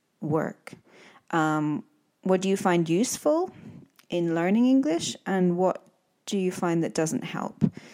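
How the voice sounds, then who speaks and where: In a very clean recording with a silent background, a woman speaks at a fairly low pitch with ordinary pitch variation in a Scottish accent. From Scotland. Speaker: English teacher and podcast host. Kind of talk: casual interview.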